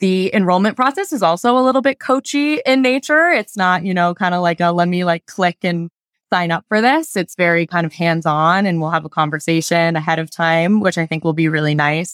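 A woman with an unremarkable speaking voice and an American accent talks fairly quickly at a fairly low pitch with lively intonation and hardly any pauses, on a very clean recording with a silent background and a dry, close sound with no echo. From Denver, Colorado. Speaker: founder of a travel company for people with diabetes. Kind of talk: interview.

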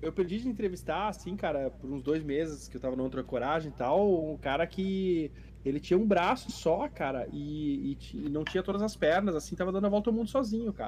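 Barely pausing, a man keeps up a rather brisk pace. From Brazil, interior of Rio Grande do Sul (Bagé). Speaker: sailor living on a boat. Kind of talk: casual interview on a live stream.

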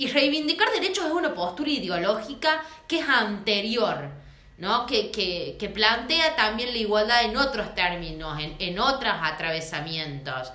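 A woman speaks at a fairly slow pace, her fairly high pitch swinging very widely. Noticeable background noise and audible room echo are present. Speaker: feminist podcast co-host. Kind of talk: casual chat.

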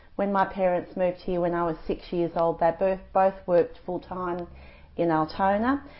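A woman at a moderate pace, with little pitch movement.

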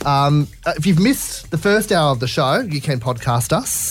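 A man with an Australian accent speaks at a moderate pace with very wide pitch swings, music playing in the background. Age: 20s. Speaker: radio host. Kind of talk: casual chat.

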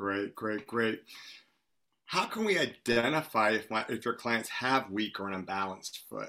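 A man's bright, sharp voice at medium pitch, moderate pace and ordinary pitch variation. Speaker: fitness educator and panel moderator. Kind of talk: webinar panel discussion. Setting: video call. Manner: animated.

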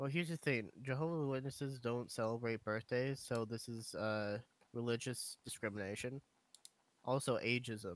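An unremarkable speaking voice from a man, medium in pitch, with ordinary pitch variation at a moderate pace. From US, moved around (Navy family). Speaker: podcast co-host. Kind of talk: casual chat.

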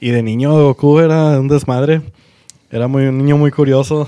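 Fairly high for a man, this ordinary speaking voice holds a fairly even intonation. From Monterrey, Nuevo León, Mexico. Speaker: podcast co-host. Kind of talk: casual chat.

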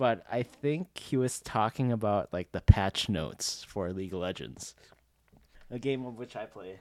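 A man in a plain, everyday voice speaks at a fairly low pitch with lively intonation and big swings in loudness, the recording very clean, dry and close, with no echo and a silent background. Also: moderate pace. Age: 20s. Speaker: podcast co-host. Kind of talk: casual chat.

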